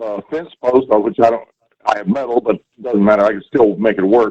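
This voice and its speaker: A man's dark, mellow tone comes through dry and close, with no echo. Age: 80s+. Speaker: caller. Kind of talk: phone-in question.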